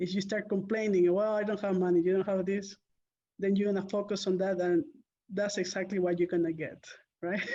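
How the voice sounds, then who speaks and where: The speaker talks at a fairly quick pace with a Spanish accent and a monotone, flat intonation. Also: woman, medium pitch for a woman. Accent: Spanish-accented English, non-native. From Peru. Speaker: real estate investor. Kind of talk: interview. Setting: call.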